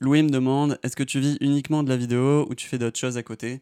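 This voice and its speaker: In a dry, close recording with no echo, a man at medium pitch talks at a fairly quick pace in a monotone, flat way with a dark, mellow tone. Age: 20s. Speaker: drone pilot YouTuber. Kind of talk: Q&A video. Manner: casual.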